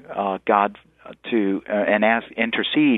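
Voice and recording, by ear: A man talks with fairly even intonation at a fairly low pitch, in a dry, close sound with no echo.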